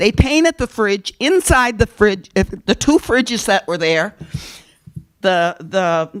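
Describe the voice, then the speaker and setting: Here a woman speaks in an animated tone at a moderate pace. Her intonation is lively. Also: dry, close sound with no echo. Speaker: community food program organizer. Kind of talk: public presentation at council meeting. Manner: loud.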